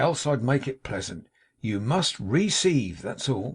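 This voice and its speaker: A raspy, put-on character voice from a man with an American accent, medium in pitch with very wide pitch swings, at a fairly slow pace against a quiet background. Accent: American colloquial speech. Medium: read story. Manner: cool, drawling, laconic.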